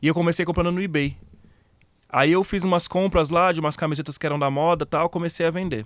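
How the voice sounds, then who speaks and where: On a very clean recording against a silent background, a man speaks very fast. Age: 30s. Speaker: online retailer. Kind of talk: casual interview chat.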